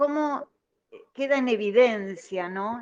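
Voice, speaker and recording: The woman's pitch is fairly high. She speaks at a very slow pace. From Argentina, Buenos Aires. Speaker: caller. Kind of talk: call-in comment.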